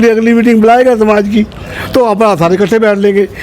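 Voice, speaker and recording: Noticeable background noise accompanies a man speaking in a high pitch. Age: 60s. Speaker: community leader. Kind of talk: interview.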